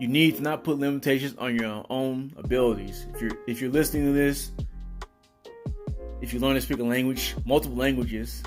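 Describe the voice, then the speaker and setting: A man speaks at a fairly quick pace with music playing in the background. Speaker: fitness consultant. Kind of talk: motivational talk.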